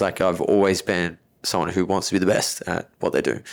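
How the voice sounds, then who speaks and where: On a very clean recording with a silent background, a man with an Australian accent speaks in a fairly low, monotone, flat voice. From Australia, Melbourne. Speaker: personal trainer and gym owner. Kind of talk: casual interview.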